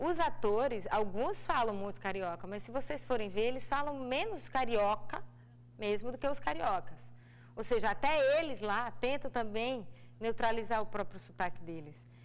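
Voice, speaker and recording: Vocal fry and lively intonation come through at a moderate pace, with audible room echo. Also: woman, fairly high pitch for a woman. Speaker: actress. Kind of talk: TV interview. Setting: TV studio.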